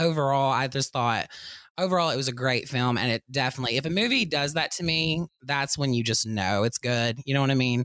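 A man speaks in a bright, sharp tone at a medium pitch, his loudness very even. The recording is very clean, with a silent background. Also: ordinary pitch variation, fairly quick pace. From Kentucky. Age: 20s. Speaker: podcast co-host. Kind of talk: casual interview.

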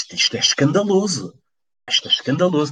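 There is vocal fry in this man's voice as he talks at a moderate pace with very wide pitch swings. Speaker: football commentator. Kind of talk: casual football discussion. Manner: animated.

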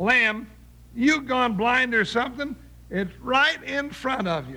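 Using a put-on character voice, a man speaks slowly at an extremely high pitch, with a bright, sharp tone and lively intonation.

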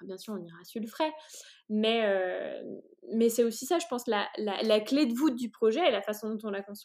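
This woman has a fairly high pitch and lively intonation. She talks at a moderate pace. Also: big swings in loudness. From China (French family). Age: 30s. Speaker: entrepreneur. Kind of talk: interview. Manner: halting, many hesitations.

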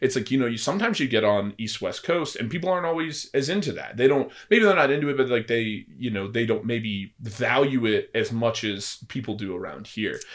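With an American accent and an ordinary speaking voice, a man talks at a fairly quick pace with lively intonation and hardly any pauses. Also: medium pitch for a man. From California. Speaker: podcast co-host, supplement store owner. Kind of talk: casual chat.

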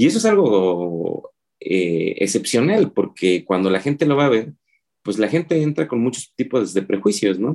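His pitch swings very widely around a medium level. The man talks fairly slowly, with a dark, mellow tone. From Oaxaca City, Mexico. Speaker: filmmaker and cartoonist. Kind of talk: interview conversation.

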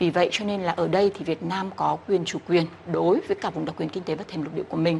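A woman speaks at a fairly low pitch and a very fast pace. She leaves hardly any pauses and keeps her intonation fairly even. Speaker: legal expert interviewee. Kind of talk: radio interview answer.

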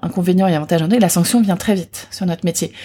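Talking at a very fast pace, a woman has a dark, mellow tone that is somewhat breathy. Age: 40s. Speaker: beauty brand founder. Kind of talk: interview.

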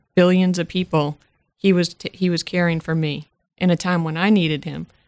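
A woman with an American accent speaks in a fairly low pitch with monotone, flat intonation, recorded dry and close with no echo. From Massachusetts, Worcester area. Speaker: radio station staff member. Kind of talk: interview, casual chat.

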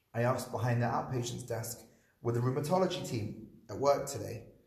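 This man's voice is somewhat breathy and moves at a fairly quick pace. Audible room echo surrounds it. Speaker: rabbi and school teacher. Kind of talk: public conversation about personal loss. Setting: live event with audience.

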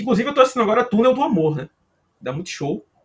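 With a Pernambuco accent, a man talks with very wide pitch swings. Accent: drawling Brazilian accent, Pernambuco-style. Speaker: sports podcast co-host. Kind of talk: casual chat.

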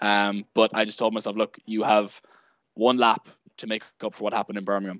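A man with an Irish accent speaks fairly quickly at a fairly low pitch in a monotone, flat intonation, with a dry, close sound with no echo and a quiet background. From Ireland, Sligo. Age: 20s. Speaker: athlete. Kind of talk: casual chat.

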